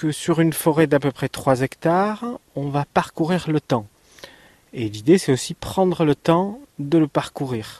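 The recording is dry and close with no echo, as a man with a fairly high pitch talks at a fairly slow pace with lively intonation. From France, Ariège. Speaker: theme park creator. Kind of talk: radio interview. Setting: on location outdoors at the park. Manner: halting, many hesitations.

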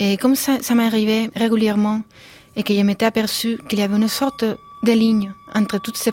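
Monotone, flat intonation over noticeable background noise. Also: woman. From Spain. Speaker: composer and musician. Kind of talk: radio interview. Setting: studio. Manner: halting.

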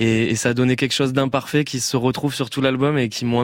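He speaks at a fairly quick pace with a medium pitch for a man. His intonation is monotone and flat. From southwest France. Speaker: pop singer. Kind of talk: radio interview. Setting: radio studio.

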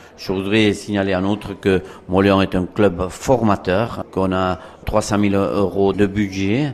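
A man talks very slowly in a fairly low voice with fairly even intonation. Background noise is noticeable. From Soule, French Basque Country. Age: 50s. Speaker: rugby club president. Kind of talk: interview.

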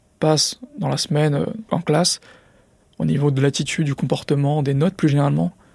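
Fairly quick, somewhat breathy speech from a man at a fairly high pitch. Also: dry, close sound with no echo. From France, Drancy (Seine-Saint-Denis), Paris suburbs. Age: 20s. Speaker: former student, entrepreneur. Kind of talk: interview testimony. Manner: filler-heavy, hesitant.

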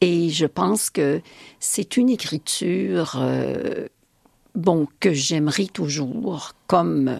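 Vocal fry and very wide pitch swings run through this very slow speech, which has a dry, close sound with no echo. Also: woman. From Quebec. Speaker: poet. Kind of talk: interview.

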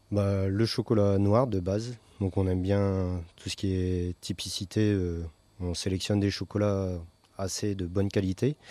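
Over a quiet background, a man speaks at a fairly slow pace and fairly low pitch in a dark, mellow tone with monotone, flat intonation. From Picardy coast, northern France. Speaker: chocolatier. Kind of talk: interview. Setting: chocolate shop. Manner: halting.

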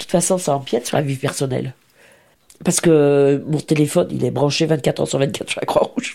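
A woman's very deep, low pitch at a fairly quick pace, with fairly even intonation. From France, Lyon (Saint-Fons). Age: 70s. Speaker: retired charity volunteer. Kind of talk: interview testimony.

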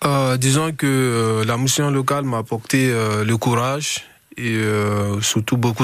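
A man speaks in a medium-pitched voice at a very slow pace. His delivery is monotone and flat. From Guinea. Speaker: young jobseeker. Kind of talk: radio interview. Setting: radio studio. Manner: halting.

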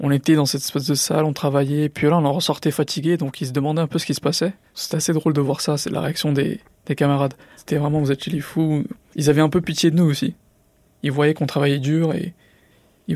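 Fairly even in intonation, the speech runs at a fairly quick pace. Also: man, fairly high pitch for a man, very clean recording, silent background. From Drancy, Seine-Saint-Denis, France. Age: 20s. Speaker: entrepreneur, former student. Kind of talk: interview testimony. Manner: uses filler words, hesitant.

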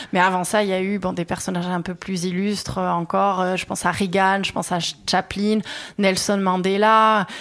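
Speaking at a moderate pace, a woman with a medium-pitched voice keeps a monotone, flat intonation. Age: 30s. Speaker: craftswoman, workshop owner. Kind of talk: interview. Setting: workshop.

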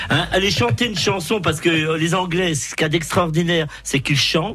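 This man's high-pitched voice moves at a fairly quick pace, with noticeable background noise around it. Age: 60s. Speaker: radio call-in contributor. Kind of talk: casual chat. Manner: animated.

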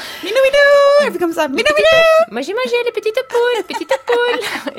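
A put-on character voice, extremely high-pitched and sing-song, at a fairly quick pace. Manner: silly sing-song calling.

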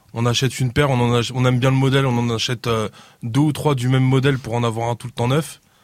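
This man has an ordinary speaking voice at a medium pitch. His intonation stays fairly even. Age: 40s. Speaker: sneaker reseller, shop owner. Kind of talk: casual panel discussion.

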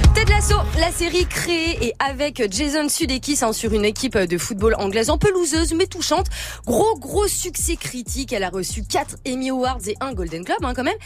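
A woman's high voice moves through very wide pitch swings at a moderate pace, with noticeable background noise. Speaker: media columnist. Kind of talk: radio chronicle on streaming platform, casual chat. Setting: radio studio. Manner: lively, chatty.

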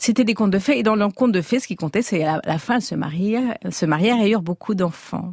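With lively intonation and hardly any pauses, a woman has a normal speaking voice at medium pitch, recorded in a dry, close sound with no echo. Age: 50s. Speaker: novelist. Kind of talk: radio interview.

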